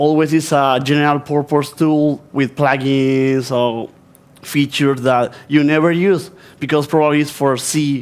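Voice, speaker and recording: A man speaks with an Argentine accent and fairly even intonation. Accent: Spanish-speaking Argentine accent in English. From Argentina. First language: Spanish. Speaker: software developer, conference speaker. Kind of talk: conference talk. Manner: halting.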